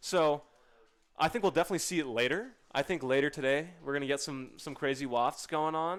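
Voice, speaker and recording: With an animated tone, a man speaks fairly quickly at a fairly high pitch, his pitch varying in an ordinary way. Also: very clean recording, silent background. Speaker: esports commentator. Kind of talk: live commentary. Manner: loud.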